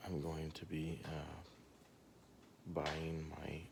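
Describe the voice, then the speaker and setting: Amid audible room echo, a soft-spoken man talks very slowly in a very deep, low pitch with monotone, flat intonation. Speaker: vlogger, husband and father. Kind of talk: casual vlog narration. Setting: at home early morning, then commuting. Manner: quiet, soft-spoken; hesitant with many fillers.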